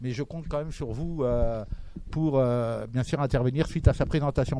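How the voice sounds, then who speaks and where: A man speaks with a strong Toulouse accent. His tone is dark and mellow. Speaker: event moderator. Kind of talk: event introduction. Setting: bookshop talk with audience.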